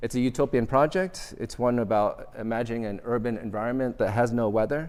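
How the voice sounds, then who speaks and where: Speaking with a Vietnamese accent, a man goes at a fairly quick pace with a medium pitch and ordinary pitch variation. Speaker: architecture professor. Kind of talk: lecture. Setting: auditorium with audience.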